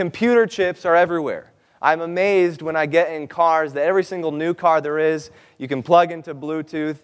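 Against a quiet background, a man with a plain, everyday voice talks at a fairly quick pace and fairly high pitch with fairly even intonation. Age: 20s. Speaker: seminar presenter. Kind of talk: seminar talk.

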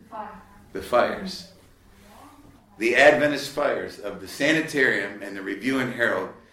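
There is noticeable background noise and audible room echo. A man speaks at a moderate pace with long, frequent pauses and big swings in loudness. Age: 50s. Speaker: lay preacher and ministry leader. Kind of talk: lecture. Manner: conversational, with frequent fillers.

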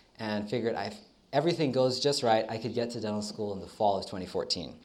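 A man with an American accent talks at a moderate pace and medium pitch, his pitch varying in an ordinary way. Audible room echo surrounds the voice. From United States. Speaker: dental student. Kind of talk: testimony. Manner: hesitant, many fillers.

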